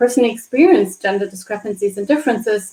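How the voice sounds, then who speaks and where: A woman with a German accent and a fairly high pitch. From Germany. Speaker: development finance executive. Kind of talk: interview.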